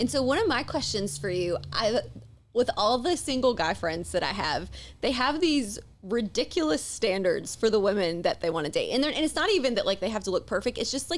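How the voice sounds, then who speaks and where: A woman's fairly high voice with vocal fry, a strong Southern US accent, a fairly quick pace and very wide pitch swings. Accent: thick Southern US. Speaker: podcast host. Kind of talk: casual chat.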